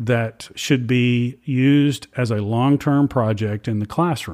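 A man speaks in a normal speaking voice with an American accent. His pitch is medium, with ordinary pitch variation. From Louisiana, US South. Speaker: state music education administrator. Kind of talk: interview.

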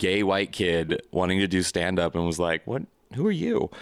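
On a very clean recording with a silent background, a man speaks at a fairly quick pace in a very deep, low pitch. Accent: Midwestern American. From St. Louis, Missouri. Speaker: comedian. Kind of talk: casual chat.

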